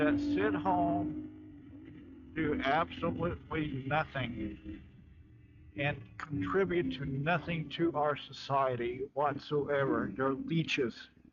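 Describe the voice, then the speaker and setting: Over noticeable background noise, a man with an American accent speaks very slowly at a fairly high pitch with lively intonation. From Florida. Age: 60s. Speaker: military veteran. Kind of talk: rant vlog.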